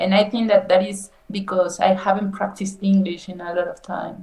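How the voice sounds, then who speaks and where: A woman speaks at a fairly slow pace with a Mexican accent. Her pitch sits in the middle range. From Mexico. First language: Spanish. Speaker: nutrition scientist, English learner. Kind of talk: English lesson conversation. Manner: slow, halting.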